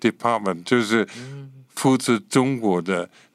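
On a very clean recording with a silent background, a man talks with an English accent and ordinary pitch variation. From Scotland. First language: English (speaking Chinese). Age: 80s+. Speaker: pastor and missionary. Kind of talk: interview testimony.

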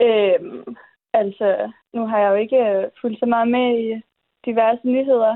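Using a plain, everyday voice, a woman speaks at a fairly slow pace and a fairly high pitch with fairly even intonation. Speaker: recent high school graduate. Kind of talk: interview.

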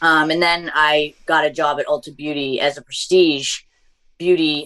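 Over a quiet background, a woman with a Massachusetts accent speaks in a very deep, low pitch with a bright, sharp tone. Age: 20s. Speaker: beauty content creator. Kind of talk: casual interview chat.

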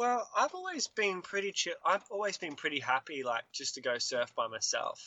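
A man with an Australian accent talks at a moderate pace with hardly any pauses. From Australia, Queensland. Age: 20s. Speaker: singer-songwriter. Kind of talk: casual chat.

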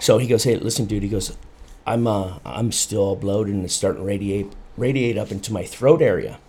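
This man talks at a fairly quick pace with a fairly low pitch and ordinary pitch variation. His voice is somewhat breathy, with an American accent. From South Dakota, US. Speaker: fire captain. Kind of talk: casual chat.

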